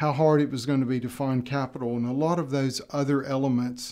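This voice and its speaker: A man with an American accent at fairly high pitch and a moderate pace, against a quiet background. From United States. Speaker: tech company founder and CEO. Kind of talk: interview. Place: studio. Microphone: studio mic.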